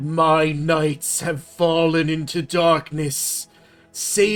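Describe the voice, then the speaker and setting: Faint music plays behind a man doing a put-on character voice at a fairly high pitch, delivered at a very slow pace with monotone, flat intonation. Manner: hissing.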